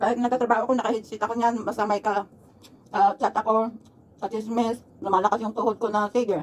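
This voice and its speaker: A woman talks at a very fast pace. Her intonation is monotone and flat. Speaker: mukbang vlogger. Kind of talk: casual vlog chat. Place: home room. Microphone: phone near.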